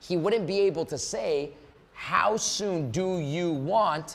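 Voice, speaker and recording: With lively intonation, a man talks in an animated tone. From Canada. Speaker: sales coach. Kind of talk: live online seminar. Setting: Zoom live event. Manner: fast.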